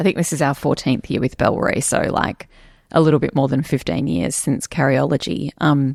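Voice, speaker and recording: In a very clean recording with a silent background, a woman with an Australian accent speaks at a moderate pace in a very deep, low pitch with vocal fry. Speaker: company co-founder and podcast host. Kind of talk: casual chat.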